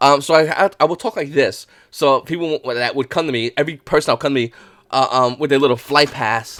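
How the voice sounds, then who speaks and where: This man's voice sits at a fairly high pitch with ordinary pitch variation, and the sound is dry and close with no echo. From New York, Brooklyn. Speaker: trading card market YouTuber. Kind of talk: casual vlog talk to camera. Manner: halting, with fillers.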